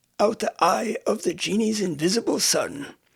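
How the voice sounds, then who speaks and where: A high-pitched man at a moderate pace, with lively intonation. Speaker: audiobook narrator. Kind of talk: audiobook narration of classic literature.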